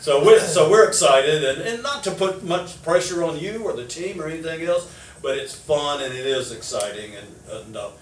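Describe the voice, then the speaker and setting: Against noticeable background noise and audible room echo, a man talks at a moderate pace in a high voice, with very wide pitch swings and big swings in loudness. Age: 70s. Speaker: sports radio show host. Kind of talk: casual interview chat.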